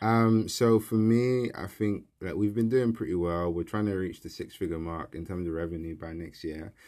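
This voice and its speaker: This voice has a London accent and a dark, mellow tone, with ordinary pitch variation at a moderate pace. The recording is very clean, with a silent background. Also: man, fairly low pitch for a man. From South East London, Peckham. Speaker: engineering student and entrepreneur. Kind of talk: casual interview.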